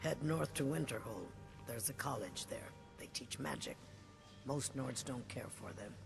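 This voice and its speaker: A man performs a put-on character voice at a medium pitch. Music plays clearly in the background. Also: moderate pace. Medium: machinima. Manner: formal, refers to others in third person.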